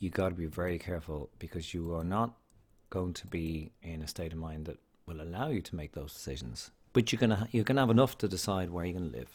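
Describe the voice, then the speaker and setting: A man with an Irish accent speaks at a very fast pace in a very deep, low voice. His intonation is lively, and his loudness swings widely. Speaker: podcast host, single parent. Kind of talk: casual monologue. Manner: rambling, conversational.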